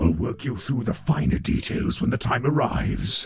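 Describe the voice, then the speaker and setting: Clear background music under a man's put-on character voice, medium pitch, moderate pace. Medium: audio drama.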